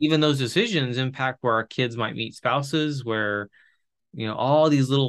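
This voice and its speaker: A man talks at a medium pitch with ordinary pitch variation, in a normal speaking voice. The background is quiet. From Chile (missionary kid), moved to US at 17. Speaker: podcast host, marriage and family counselor. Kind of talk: casual interview conversation.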